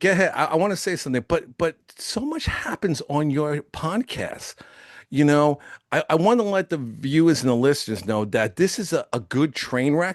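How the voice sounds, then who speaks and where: A man's fairly high voice, dry and close with no echo, against a quiet background. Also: lively intonation, moderate pace. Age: 60s. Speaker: radio show host. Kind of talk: casual interview chat. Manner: halting, repeats words.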